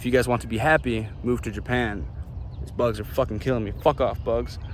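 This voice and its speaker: Someone with an American accent talks at a fairly quick pace, with vocal fry in the voice. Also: man. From US Midwest, Chicago. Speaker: vlogger. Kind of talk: casual monologue vlog. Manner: animated.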